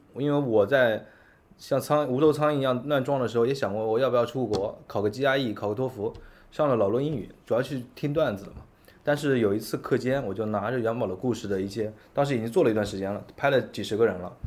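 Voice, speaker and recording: A man speaks at a very fast pace in a medium-pitched voice. His pitch varies in an ordinary way. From Yancheng, Jiangsu, China. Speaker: restaurant chain founder. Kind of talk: interview conversation. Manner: repetitive stammering.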